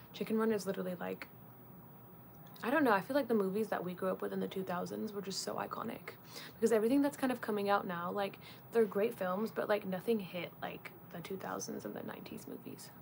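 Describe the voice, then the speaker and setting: A woman with an American accent at medium pitch, very fast pace and ordinary pitch variation, with noticeable background noise. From Leeds, Yorkshire, England. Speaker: film interviewer and content creator. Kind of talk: casual livestream Q&A. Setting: livestream. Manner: fast and chatty.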